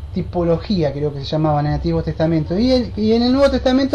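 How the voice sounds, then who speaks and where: A woman with a fairly low pitch talks very fast, her voice making very wide pitch swings. Noticeable background noise and audible room echo fill the recording. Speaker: bible study teacher. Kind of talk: bible study lecture.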